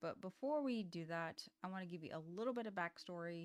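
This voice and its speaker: A woman speaks at a medium pitch in a plain, everyday voice. Her intonation is lively. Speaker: indie author and software founder. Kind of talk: casual vlog talk. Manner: casual, with fillers.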